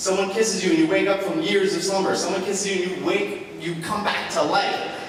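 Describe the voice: A man with a high pitch speaks over clear background noise, with audible room echo around him.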